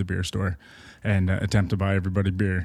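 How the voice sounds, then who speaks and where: At a very fast pace, a man with an Ontario accent speaks at a fairly low pitch in a very clean recording with a silent background. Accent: Ontario Canadian. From Markham, Ontario (Toronto suburbs). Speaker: adventurer and expedition leader. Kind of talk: casual chat. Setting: indoors at his home beside a fireplace.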